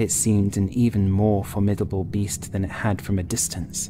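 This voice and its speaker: A fairly low-pitched man at a fairly slow pace, with music in the background. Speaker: writer and narrator. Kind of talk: gothic horror audiobook reading.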